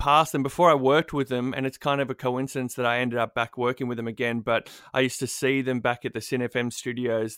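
With an Australian accent, a man speaks at a very fast pace with hardly any pauses, his medium pitch and fairly even intonation caught in a dry, close sound with no echo. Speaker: radio producer and broadcaster. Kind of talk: casual interview chat. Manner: self-deprecating, mumbling.

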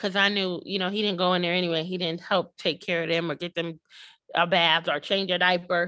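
In monotone, flat intonation, a woman speaks fairly quickly with a bright, sharp tone and fairly low pitch, over a quiet background. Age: 30s. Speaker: podcast coach and founder. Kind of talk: casual interview chat.

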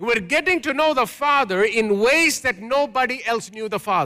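A man speaks in a raised, projected voice at an extremely high pitch. The tone is bright and sharp on a very clean recording with a silent background. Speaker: pastor. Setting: church. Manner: call-and-response.

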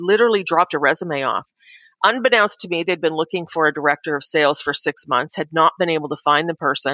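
A woman speaks at a fairly quick pace, fairly low in pitch with ordinary pitch variation and a bright, sharp tone. The sound is dry and close with no echo, over a quiet background. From Ontario, Canada. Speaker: business executive. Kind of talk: interview.

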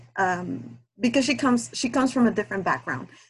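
This woman sounds somewhat breathy. Her pitch swings very widely. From Guatemala. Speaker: aspiring romance writer and listener. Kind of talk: casual chat. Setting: video call. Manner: nervous.

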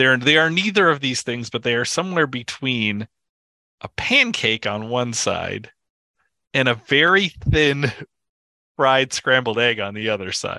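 With an American accent, a man of medium pitch speaks fairly slowly in a bright, sharp tone, his lively intonation broken by long, frequent pauses. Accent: Minnesotan, downplayed. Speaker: podcast co-host. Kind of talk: casual chat. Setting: remote call.

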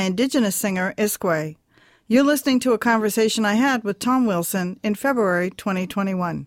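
An ordinary speaking voice from a woman, fairly high in pitch with ordinary pitch variation, at a fairly quick pace, on a very clean recording with a silent background. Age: 60s. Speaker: podcast host and photographer. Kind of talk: interview.

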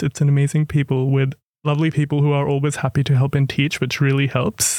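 A man with an Australian accent talks at a fairly quick pace in a fairly high pitch. The recording is very clean with a silent background, and the sound is dry and close with no echo. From far north Queensland, Australia (Cairns). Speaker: medical student. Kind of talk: podcast interview.

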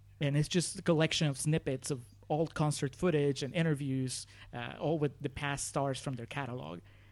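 Moving at a fairly quick pace, a man talks in an unremarkable speaking voice with fairly even intonation. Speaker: podcast guest. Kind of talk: casual chat.

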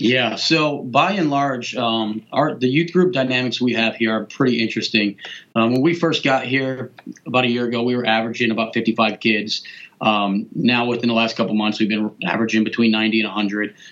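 A man talks in a plain, everyday voice at a moderate pace. His pitch sits in the medium range with ordinary variation. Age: 30s. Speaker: youth pastor. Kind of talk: casual chat.

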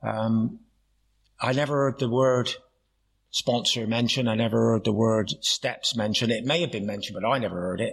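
A man speaks with a West Country accent at medium pitch. His pitch varies in an ordinary way, and his pace is moderate. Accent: Plymouth (Janner) West Country. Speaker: AA meeting speaker. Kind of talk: recovery talk with humor. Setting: AA meeting with audience.

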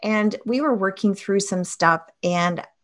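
With a Canadian accent, a woman speaks in fairly even intonation against a quiet background. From Canada, Toronto. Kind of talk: personal testimony.

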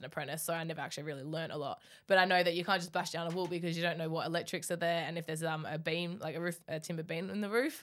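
A woman speaks very fast in a monotone with flat intonation. The recording is very clean, with a silent background. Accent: Australian. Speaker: podcast host, bricklayer. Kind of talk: casual interview chat.

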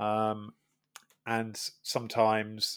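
The speaker has a Welsh accent. The recording is very clean, with a silent background. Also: man. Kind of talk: casual chat.

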